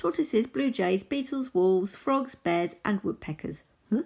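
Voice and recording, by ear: Here someone is reading aloud in a natural voice. The intonation is lively.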